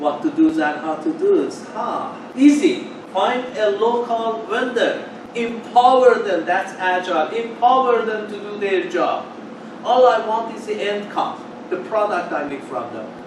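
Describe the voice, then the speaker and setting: A man's high voice moves through very wide pitch swings and big swings in loudness at a fairly slow pace. Audible room echo and noticeable background noise surround it. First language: Farsi (English is third language). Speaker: project manager speaker. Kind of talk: meetup talk.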